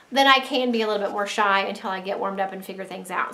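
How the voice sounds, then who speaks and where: Speaking very fast with ordinary pitch variation, a woman is heard with audible room echo. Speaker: stay-at-home mom vlogger. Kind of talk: casual chat to camera. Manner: straining to talk loud. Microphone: built-in camera mic.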